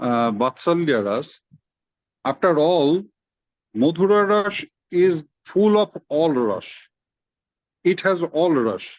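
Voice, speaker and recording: A man speaks with a Bengali accent, his pitch fairly high and his intonation lively. He talks very slowly, with long, frequent pauses. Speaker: spiritual teacher. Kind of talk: religious discourse in informal online meeting. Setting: video call. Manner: halting, with repeated words.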